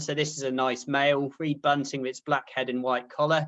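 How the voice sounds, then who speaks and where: A man speaks in a West Country accent at a fairly high pitch. He keeps a moderate pace. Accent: Dorset. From southern England, Poole in Dorset. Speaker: ornithology researcher. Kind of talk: lecture.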